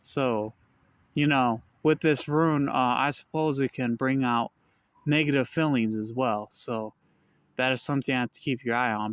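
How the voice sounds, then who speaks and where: In a very clean recording with a silent background and a dry, close sound with no echo, a man speaks at medium pitch and a moderate pace with ordinary pitch variation. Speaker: rune practitioner explaining runes. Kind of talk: casual talk-to-camera explainer. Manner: halting, many fillers.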